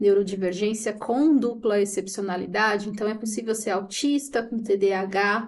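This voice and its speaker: A woman with an unremarkable speaking voice, medium in pitch, at a fairly slow pace. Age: 30s. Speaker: teacher and operations coordinator. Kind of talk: casual chat.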